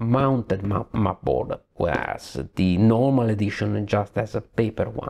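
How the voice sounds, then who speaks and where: Talking at a fairly slow pace, a man with an Italian accent uses a medium pitch and ordinary pitch variation. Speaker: board game reviewer. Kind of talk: game review. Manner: halting.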